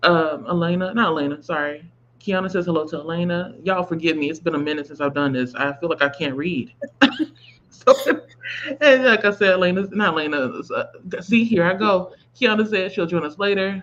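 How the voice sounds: In a hoarse, put-on character voice, a woman speaks at a fairly quick pace with a fairly low pitch.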